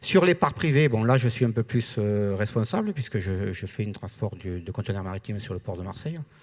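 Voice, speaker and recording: A man with a southern French accent speaks at a fairly quick pace with hardly any pauses, his fairly low voice carrying lively intonation on a very clean recording with a silent background. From southern France. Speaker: trucking company owner. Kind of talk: panel discussion.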